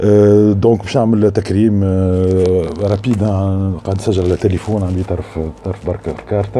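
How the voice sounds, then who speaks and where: Over noticeable background noise, a man with a Tunisian accent speaks very slowly at a fairly low pitch with fairly even intonation. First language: Tunisian Arabic (speaking French). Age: 50s. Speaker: filmmaker. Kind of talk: spoken tribute. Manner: halting.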